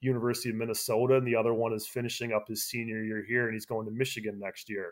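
On a very clean recording with a silent background, a man with an American accent and a medium pitch talks at a very fast pace. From Wisconsin. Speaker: sports journalist. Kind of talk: casual interview. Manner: halting, many repeats.

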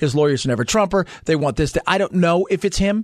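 A high-pitched man with lively intonation at a fairly quick pace, in a dry, close sound with no echo against a quiet background. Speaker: talk radio host. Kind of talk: talk radio show. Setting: studio. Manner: fast.

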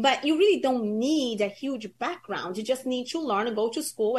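A normal speaking voice from a woman, fairly high in pitch, at a moderate pace with lively intonation. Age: 30s. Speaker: insurance agency founder. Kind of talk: interview.

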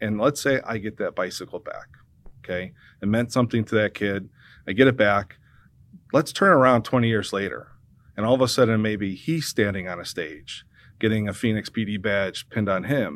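On a very clean recording with a silent background, a man with an American accent and an ordinary speaking voice talks at a fairly quick pace, his fairly low pitch showing ordinary pitch variation. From US Midwest. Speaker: police civilian investigator, retired police officer. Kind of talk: radio interview.

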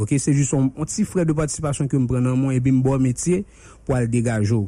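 A man speaks at a fairly quick pace and medium pitch, with ordinary pitch variation. His voice is somewhat breathy, with a dark, mellow tone. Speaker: vocational trainer. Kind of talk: radio interview. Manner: fast.

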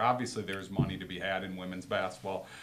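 Heard with audible room echo, a man with an American accent speaks at a fairly low pitch with fairly even intonation. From Wisconsin. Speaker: girls basketball coach. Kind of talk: casual interview.

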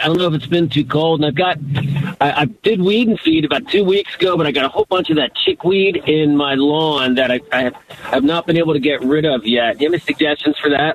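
A fairly high-pitched man with an American accent, fairly quick, very even in loudness, with ordinary pitch variation and noticeable background noise. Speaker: caller. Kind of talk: call-in conversation. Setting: phone call. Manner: halting.

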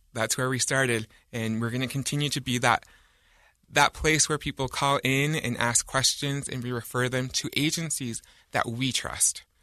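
An American-accented man at a medium pitch, with a bright, sharp tone, monotone, flat intonation and a moderate pace, against a quiet background. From Utah County, US. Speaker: communications officer of a nonprofit. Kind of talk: radio interview.

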